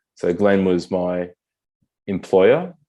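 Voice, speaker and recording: Over a quiet background, a man with an Australian accent speaks in a fairly low, monotone voice with flat intonation and a dark, mellow tone. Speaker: military veteran with spinal cord injury. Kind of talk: interview conversation.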